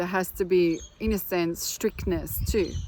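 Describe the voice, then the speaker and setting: This woman has a non-native accent and a medium pitch. She speaks fairly slowly with fairly even intonation. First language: not English. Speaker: spiritual healer. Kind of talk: casual vlog monologue. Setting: outdoors.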